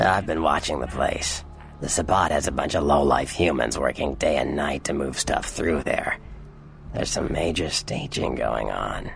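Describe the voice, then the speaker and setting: Putting on a raspy character voice with a very deep, low pitch, a man speaks at a moderate pace over clear background noise. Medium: video game. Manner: teasing, smug.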